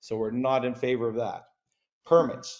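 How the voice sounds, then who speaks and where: A man talks at a moderate pace, his pitch medium and varying in an ordinary way. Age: 60s. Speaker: resident speaking at council meeting. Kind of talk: public delegation speech. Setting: council meeting. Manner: impassioned.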